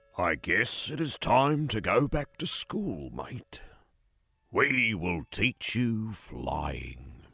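In a raspy put-on character voice of medium pitch, a man speaks at a very slow pace. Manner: solemn, serious, regal.

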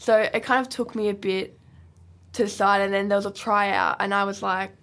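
A woman with an Australian accent talks at a fairly quick pace in a very clean recording with a silent background. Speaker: wheelchair football player. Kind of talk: casual chat. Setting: studio.

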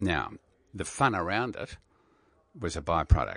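Against a quiet background, a man talks with vocal fry. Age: 60s. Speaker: radio broadcaster. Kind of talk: casual interview chat.

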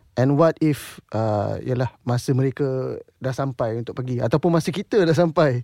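In a very clean recording with a silent background, a man with a dark, mellow tone at medium pitch talks with hardly any pauses. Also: ordinary pitch variation, moderate pace, dry, close sound with no echo. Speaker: singer and composer. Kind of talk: interview. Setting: studio.

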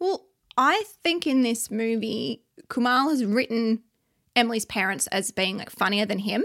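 Her voice is an unremarkable speaking voice, a woman's, fairly high in pitch with lively intonation and a moderate pace. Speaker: podcast co-host. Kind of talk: casual chat.

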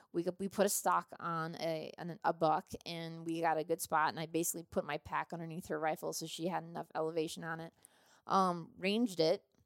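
A woman talks at a fairly quick pace with an American accent, her pitch fairly low, in a plain, everyday voice. The sound is dry and close, with no echo. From US Midwest, southeastern Minnesota. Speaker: firearms company sales and marketing executive, hunter. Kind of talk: casual interview. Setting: on location during a hunting trip in Utah.

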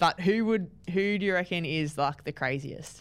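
In a very clean recording with a silent background, a woman with an Australian accent speaks with ordinary pitch variation. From New South Wales, Australia. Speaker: footballer hosting team podcast. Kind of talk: casual interview.

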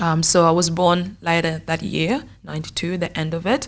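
Her very deep, low voice carries vocal fry as the woman speaks at a fairly slow pace. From South Sudan, grew up in refugee camp in Kenya. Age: 20s. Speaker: professional footballer. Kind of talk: interview.

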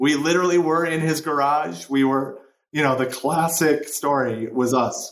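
An American-accented man with a plain, everyday voice speaks at a moderate pace and fairly high pitch. His pitch varies in an ordinary way, and his loudness stays very even. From US Midwest, Chicago. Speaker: entrepreneur, marketing agency co-founder. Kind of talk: interview.

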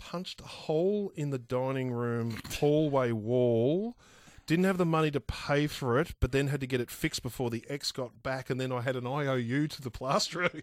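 The recording is very clean and the background silent. In it, a man with an Australian accent talks at a moderate pace. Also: medium pitch for a man, ordinary pitch variation. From Victoria, Australia. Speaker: podcast host. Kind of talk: casual chat.

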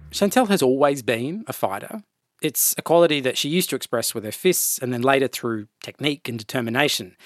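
A man with an Australian accent at a very fast pace, medium in pitch, with lively intonation and a dry, close sound with no echo, on a very clean recording against a silent background. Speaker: podcast host. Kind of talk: scripted narration and interview.

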